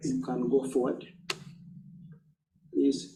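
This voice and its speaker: Amid audible room echo, a man speaks in a dark, mellow tone with lively intonation. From southwestern Uganda. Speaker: education nonprofit leader. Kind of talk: talk with slides. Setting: church forum with audience.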